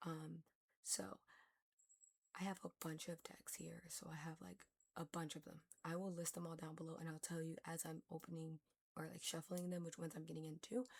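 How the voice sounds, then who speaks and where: Speaking at a fairly quick pace with long, frequent pauses, the voice is somewhat breathy and its intonation fairly even. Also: woman, fairly low pitch for a woman. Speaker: tarot reader. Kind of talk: tarot reading. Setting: home recording, sitting on the floor. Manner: stuttering; casual, rambling with fillers.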